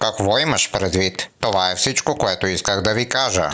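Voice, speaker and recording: Using a cartoonish character voice, a man speaks at a fairly low pitch. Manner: friendly, lecturing.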